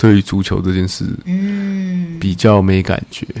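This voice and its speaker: Very wide pitch swings mark a man's dark, mellow tone. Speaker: host's husband, father of twins. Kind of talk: casual chat. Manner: slow.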